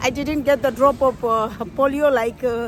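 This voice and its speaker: A woman talks with a high pitch. Noticeable background noise is present. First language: Tibetan. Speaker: vlogger. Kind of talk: casual vlog chat. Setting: outdoors, walking to Christmas market. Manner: halting, many fillers.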